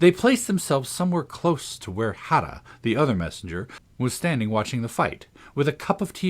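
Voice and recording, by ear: Lively intonation throughout some reading aloud in a natural voice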